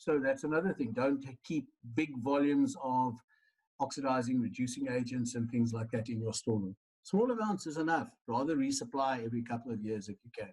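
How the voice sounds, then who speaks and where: With an ordinary speaking voice, a man speaks at a medium pitch and a fairly quick pace, his pitch varying in an ordinary way while his loudness swings widely. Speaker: lecturer. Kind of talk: lecture.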